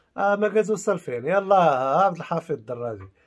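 A man talks with lively intonation. Nothing else can be heard behind him. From Morocco. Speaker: YouTuber. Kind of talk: video commentary. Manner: animated. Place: home room. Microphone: phone near.

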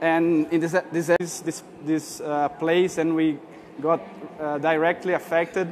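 A man with a Portuguese accent speaks at a very slow pace in a high, monotone voice with flat intonation. Light background noise can be heard. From Brazil. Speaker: artist; speaker. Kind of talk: conference talk. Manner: halting. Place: hall.

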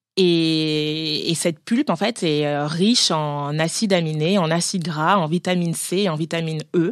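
A fairly low-pitched woman at a fairly slow pace with hardly any pauses and fairly even intonation, on a very clean recording with a silent background. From France. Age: 30s. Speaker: cosmetics brand founder. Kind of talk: interview. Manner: hesitant, many fillers.

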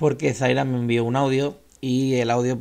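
A man in a Castilian accent with monotone, flat intonation. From Spain. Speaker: YouTube music channel host. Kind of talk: casual vlog talk to viewers. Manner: hesitant, many fillers and repetitions. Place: home room. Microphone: studio mic.

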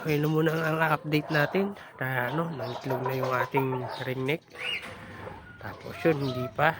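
With noticeable background noise behind him, a man talks at a moderate pace in a fairly high pitch. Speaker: vlogger raising birds and animals. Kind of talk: casual vlog narration. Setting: outdoors in backyard.

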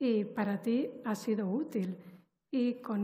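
A woman speaks at a fairly high pitch with a dark, mellow tone. Her intonation stays fairly even, and her voice is somewhat breathy. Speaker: literature professor and poet; literature professor, poet. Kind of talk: academic commentary; panel talk on a book. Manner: formal, articulate. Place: hall. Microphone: headset.

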